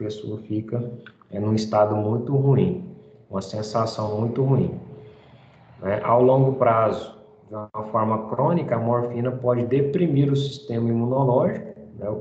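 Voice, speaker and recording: A man at a fairly slow pace, with long, frequent pauses, big swings in loudness and audible room echo. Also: ordinary pitch variation. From Brazil. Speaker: teacher. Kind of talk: lecture. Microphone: video call.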